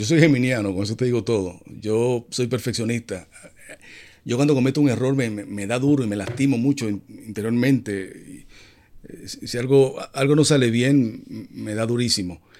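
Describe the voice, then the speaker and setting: In a very clean recording with a silent background, a man with an ordinary speaking voice talks at a moderate pace, his medium pitch varying in an ordinary way. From Dominican Republic. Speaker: TV entertainment journalist and host. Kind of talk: casual interview.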